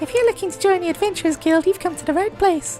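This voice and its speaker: With clear music in the background, a put-on character voice races at a very fast pace in an extremely high pitch. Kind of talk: formal, polite. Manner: welcoming.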